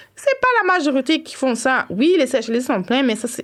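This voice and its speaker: With an animated tone and very wide pitch swings, a woman speaks at a moderate pace. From Montreal, Quebec (east Rosemont), Haitian family. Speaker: cultural worker and blogger. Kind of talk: casual interview conversation. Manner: animated, lots of fillers.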